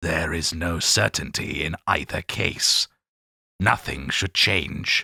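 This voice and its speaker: A man's put-on character voice, very deep and low, at a fairly slow pace, with a dry, close sound and no echo. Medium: read story. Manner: terse, cryptic.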